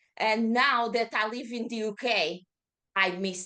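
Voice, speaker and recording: In a Portuguese accent, a woman speaks at a medium pitch with a bright, sharp tone. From Portugal, Lisbon. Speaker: yoga teacher. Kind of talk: casual interview.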